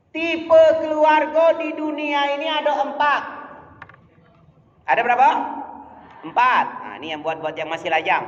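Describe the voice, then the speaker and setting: With a Malay accent and an animated tone, a man talks at a moderate pace, leaving long, frequent pauses, his loudness swinging widely over audible room echo. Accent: Malay-tinged Indonesian. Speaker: preacher. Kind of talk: sermon.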